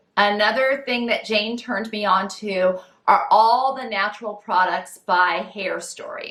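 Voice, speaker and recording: A woman speaks in an ordinary speaking voice at a medium pitch. Her pace is fairly slow, with ordinary pitch variation. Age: 50s. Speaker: style vlogger. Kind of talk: tutorial. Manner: casual, friendly.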